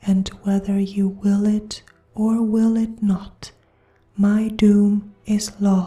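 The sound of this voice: The reading voice in this clip is unforced.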